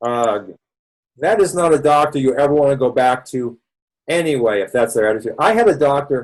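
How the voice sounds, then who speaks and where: With a Boston accent, a man speaks at a fairly quick pace in a fairly high pitch with lively intonation. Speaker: doctor leading a health support session. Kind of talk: educational webinar lecture. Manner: casual, conversational with fillers.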